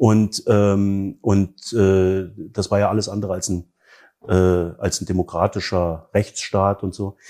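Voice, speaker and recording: A man talks at a very slow pace in a fairly low pitch. His intonation stays monotone and flat. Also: very clean recording, silent background. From East Germany. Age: 40s. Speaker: book fair director. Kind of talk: interview. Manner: hesitant, many fillers.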